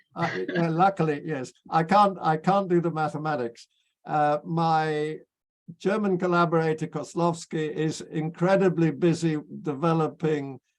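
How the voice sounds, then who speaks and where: Fairly slow speech from a man with a British accent, fairly high in pitch, with fairly even intonation. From Britain. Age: 80s+. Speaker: physicist. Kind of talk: interview. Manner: halting, repeats words.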